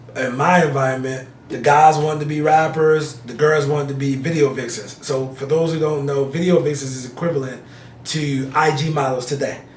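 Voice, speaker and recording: Over noticeable background noise and audible room echo, a man with a fairly high pitch talks at a fairly quick pace. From New Jersey (Elizabeth, north Jersey). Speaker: real estate investor. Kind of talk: interview. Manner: animated.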